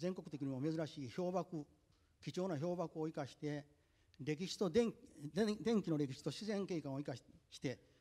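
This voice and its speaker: Against a quiet background, a man with a dark, mellow tone speaks with lively intonation. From Japan, Tokushima (rural); Japan. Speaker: botanical garden operator; panelist. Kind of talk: panel discussion. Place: hall. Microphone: handheld.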